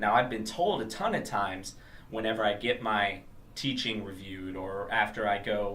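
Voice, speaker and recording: Noticeable background noise and audible room echo accompany a man speaking at a moderate pace in a medium pitch. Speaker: motivational speaker / vlogger. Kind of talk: motivational talk to camera.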